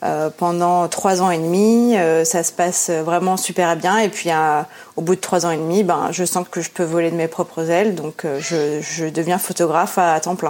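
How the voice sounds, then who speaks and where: A woman speaks fairly slowly at a fairly low pitch, keeping her intonation fairly even. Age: 30s. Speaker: ceramicist and photographer. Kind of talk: interview. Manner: hesitant, many fillers.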